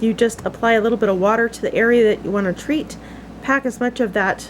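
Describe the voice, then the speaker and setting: Fairly high female speech at a rather brisk pace, with normal pitch movement over noticeable background noise. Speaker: homesteading channel host. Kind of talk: tutorial. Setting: outdoors in the woods. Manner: casual, conversational.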